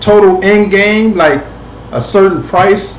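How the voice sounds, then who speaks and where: A man's high-pitched voice comes with audible room echo and light background noise. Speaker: online show host. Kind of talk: casual commentary. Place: home room. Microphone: webcam.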